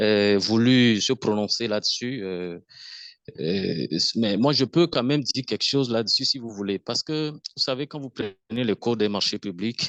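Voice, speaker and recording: The speaker has a Togolese accent and a fairly slow pace, with ordinary pitch variation. The sound is dry and close with no echo, over a quiet background. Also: man, medium pitch for a man. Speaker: webinar participant. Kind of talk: online Q&A discussion.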